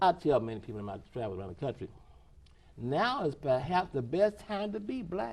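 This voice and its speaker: A man with an American accent sounds somewhat breathy. His loudness swings widely and his pitch swings very wide. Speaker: former athlete, desegregation pioneer. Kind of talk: interview answer.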